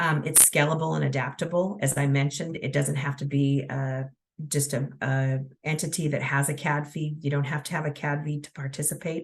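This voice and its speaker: The voice is somewhat breathy, with monotone, flat intonation. The background is quiet. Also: woman. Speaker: transportation agency presenter. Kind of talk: webinar presentation. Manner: fast; hesitant, many fillers.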